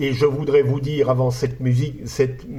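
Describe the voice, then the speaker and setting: A man speaks in a flat, monotone intonation, somewhat breathy. Audible room echo surrounds his voice. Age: 60s. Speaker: conference speaker. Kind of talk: lecture. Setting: conference hall with audience. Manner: halting, frequent hesitations.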